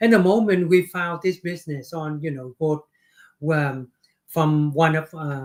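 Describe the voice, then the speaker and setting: A man with a Vietnamese accent speaks at a fairly slow pace, his fairly high pitch showing ordinary variation. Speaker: business owner. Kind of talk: interview. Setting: livestream.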